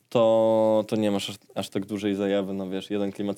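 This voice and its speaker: A man's fairly low voice in a flat monotone. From Warsaw, Poland (Żoliborz). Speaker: rapper and sound engineer. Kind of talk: casual interview chat. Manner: hesitant, many filler sounds.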